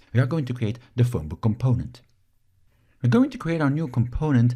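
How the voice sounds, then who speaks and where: A man with a Flemish accent speaks at medium pitch with lively intonation. His tone is dark and mellow, and somewhat breathy. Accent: Belgian Dutch (Flemish) accent in English. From Belgium. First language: Dutch. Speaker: software instructor. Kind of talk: tutorial.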